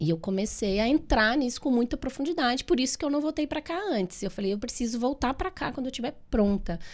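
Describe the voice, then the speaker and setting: At a moderate pace, a woman with a dark, mellow tone speaks at a fairly high pitch that swings very widely. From Minas Gerais, Brazil. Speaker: physiotherapist and therapist. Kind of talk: podcast interview.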